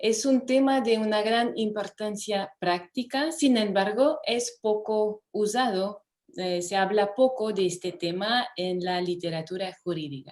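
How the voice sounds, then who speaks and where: A French accent at a fairly slow pace, with ordinary pitch variation and hardly any pauses. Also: woman, fairly high pitch for a woman. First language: French (speaking Spanish). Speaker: law professor. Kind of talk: lecture.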